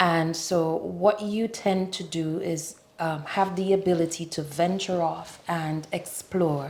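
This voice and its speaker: Speaking very slowly with hardly any pauses, a woman uses a fairly low pitch and fairly even intonation over noticeable background noise. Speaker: tourism board representative. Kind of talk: interview.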